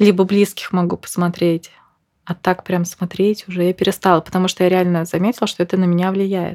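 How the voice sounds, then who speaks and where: Medium-pitched, a woman speaks at a moderate pace. The recording is very clean with a silent background and a dry, close sound with no echo. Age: 30s. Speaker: mother on maternity leave, psychology student. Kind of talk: casual chat.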